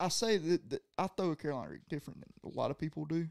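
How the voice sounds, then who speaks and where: With a Southern US accent, a man talks very fast. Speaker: college angler. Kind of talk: casual chat.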